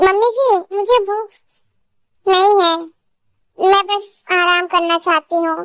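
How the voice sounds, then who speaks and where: A woman's put-on character voice at an extremely high pitch, fairly slow and fairly even in intonation, with long, frequent pauses. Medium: fan dub. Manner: soft-spoken, respectful.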